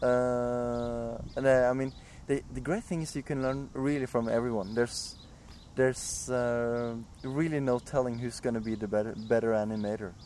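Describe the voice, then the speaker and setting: A man with a Norwegian accent talks at a moderate pace with fairly even intonation. His tone is dark and mellow. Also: medium pitch for a man. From Norway. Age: 20s. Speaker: animator. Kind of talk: interview. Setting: outdoors.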